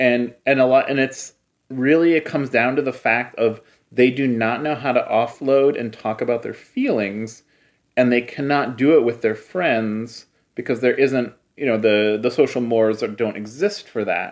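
A man's plain, everyday voice at medium pitch, with an American accent, ordinary pitch variation, a moderate pace, and a quiet background. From US Midwest, Cleveland. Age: 30s. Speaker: publisher and filmmaker. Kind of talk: interview conversation.

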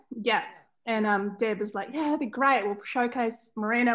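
A woman's fairly high voice with a New Zealand accent, moderate pace, quiet background. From New Zealand, Central Otago. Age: 40s. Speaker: fashion brand founder. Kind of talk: interview. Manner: hesitant, many fillers.

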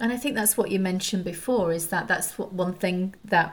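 Somewhat breathy and fairly low-pitched, a woman speaks at a moderate pace with ordinary pitch variation. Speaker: podcast host. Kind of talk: interview.

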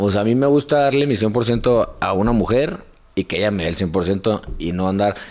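Ordinary pitch variation and a moderate pace mark an unremarkable speaking voice. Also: man, fairly low pitch for a man. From Hermosillo, Sonora, northern Mexico. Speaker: fitness content creator. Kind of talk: casual chat.

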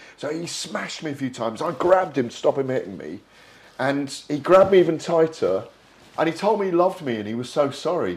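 Over noticeable background noise, a man talks at a very fast pace with a fairly high pitch, lively intonation and big swings in loudness. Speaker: boxing journalist. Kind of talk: interview.

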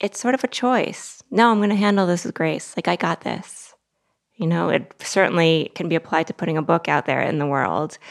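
A woman in an American accent, fairly low-pitched, with lively intonation at a moderate pace, in a dry, close sound with no echo and a very clean recording with a silent background. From Massachusetts. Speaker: writer and editor. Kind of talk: casual chat. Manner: animated.

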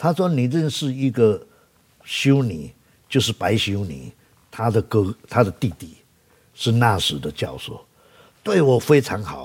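A man with a Taiwanese accent speaks at a fairly slow pace and a medium pitch, leaving long, frequent pauses. His pitch swings very widely and his loudness varies greatly. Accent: Taiwanese Mandarin. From Taiwan, Taichung. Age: 70s. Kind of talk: interview. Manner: halting, filler-heavy.

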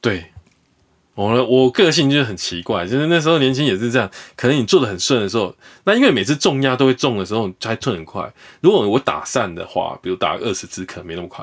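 Speaking very fast at medium pitch, a man swings widely in both pitch and loudness. The recording is very clean, with a silent background. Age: 40s. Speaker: investor, former stockbroker. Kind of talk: interview. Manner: animated.

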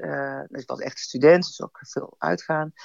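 A woman speaks at a fairly slow pace. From Brabant, Netherlands. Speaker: storyteller guest. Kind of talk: personal storytelling.

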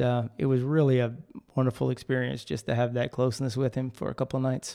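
Here a man with a normal speaking voice and medium pitch talks at a fairly quick pace. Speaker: podcast host. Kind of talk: casual chat.

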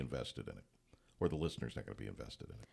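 A man's voice with vocal fry. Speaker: play-by-play announcer. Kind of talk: casual chat. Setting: studio.

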